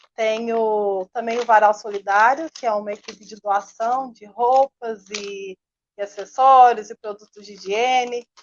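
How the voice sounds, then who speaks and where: This woman has an ordinary speaking voice, fairly high in pitch and fairly even in intonation, moving at a fairly slow pace with big swings in loudness. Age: 20s. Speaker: seamstress and activist. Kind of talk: video call panel introduction. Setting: video call.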